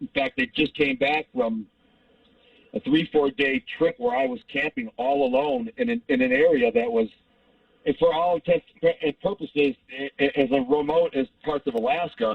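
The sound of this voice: With lively intonation and vocal fry, a man speaks at a moderate pace in an extremely high pitch, the sound dry and close with no echo.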